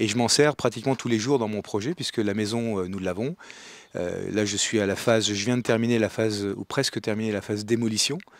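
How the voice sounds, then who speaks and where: A man speaks at a fairly quick pace with a medium pitch and ordinary pitch variation. The recording is very clean, with a silent background. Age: 60s. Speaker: retired executive, training participant. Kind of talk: interview testimony. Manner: halting, many hesitations.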